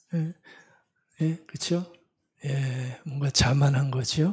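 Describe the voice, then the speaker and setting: A man speaks very slowly in a fairly high, somewhat breathy voice with a dark, mellow tone. His intonation stays fairly even. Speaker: pastor. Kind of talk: sermon. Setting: church service, livestream. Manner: conversational, many fillers.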